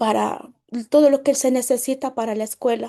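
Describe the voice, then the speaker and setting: With a Mexican accent, a woman speaks at a high pitch in a dark, mellow tone with ordinary pitch variation. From Mexico, Puebla state (rural Nahuatl-speaking village). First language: Nahuatl (speaking Spanish). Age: 30s. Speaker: network marketing leader. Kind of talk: personal testimony. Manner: halting, with repetitions.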